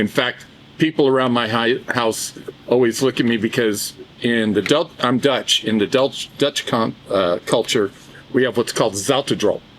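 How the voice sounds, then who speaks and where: Noticeable background noise sits under a voice with an American accent, a moderate pace, ordinary pitch variation, and very even loudness. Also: man, medium pitch for a man. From US West (Southern California). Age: 70s. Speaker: cigar brand co-founder and musician. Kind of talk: casual chat.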